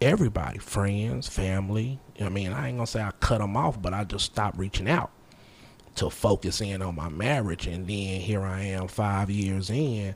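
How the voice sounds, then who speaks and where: An unremarkable speaking voice from a man, fairly low in pitch, at a moderate pace. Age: 30s. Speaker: podcast guest. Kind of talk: casual chat.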